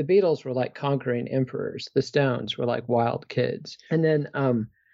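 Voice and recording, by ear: With ordinary pitch variation, a voice reads aloud naturally.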